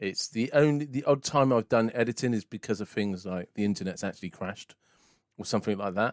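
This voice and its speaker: A man with an unremarkable speaking voice talks at a fairly quick pace with ordinary pitch variation. The very clean recording, silent background sounds dry and close with no echo. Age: 40s. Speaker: podcast host. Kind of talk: casual chat.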